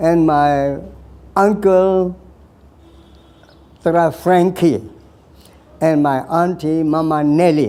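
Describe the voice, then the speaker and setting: Fairly high-pitched for a man, his dark, mellow voice moves at a very slow pace with long, frequent pauses, ordinary pitch variation and very even loudness. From Burma (Karen area). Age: 80s+. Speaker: war veteran. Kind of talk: life story interview. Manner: halting.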